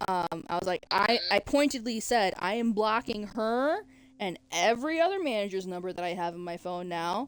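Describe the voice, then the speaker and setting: Over music in the background, a woman speaks at a fairly high pitch and a moderate pace, her voice making very wide pitch swings. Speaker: streamer. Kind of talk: casual chat. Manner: halting.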